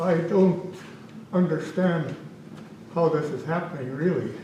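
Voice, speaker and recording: Amid audible room echo and noticeable background noise, a man with a high pitch speaks at a fairly slow pace with fairly even intonation. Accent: Canadian. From Manitoba, Canada. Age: 70s. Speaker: local resident speaking at public hearing. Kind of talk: public comment at council hearing. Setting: municipal council meeting.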